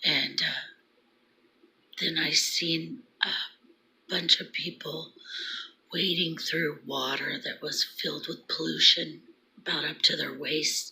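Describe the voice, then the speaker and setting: A woman speaks quietly at a very slow pace with long, frequent pauses. Noticeable background noise sits behind her. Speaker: vlogger sharing prophetic dreams. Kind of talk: casual vlog monologue. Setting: at home early morning. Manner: quiet, hushed; halting, many fillers.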